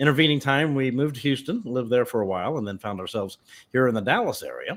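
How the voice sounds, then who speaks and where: A man speaks with an unremarkable speaking voice at medium pitch. The recording is very clean, with a silent background. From US South (Memphis, Tennessee). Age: 50s. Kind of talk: personal testimony interview.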